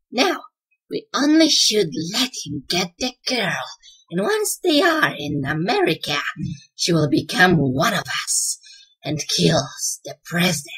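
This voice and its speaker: Using a put-on character voice with a menacing tone, a man speaks at a fairly slow pace in a high pitch, with long, frequent pauses. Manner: menacing, villainous.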